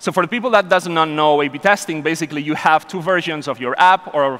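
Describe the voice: A man with a fairly high pitch and a fairly bright tone speaks at a moderate pace with ordinary pitch variation.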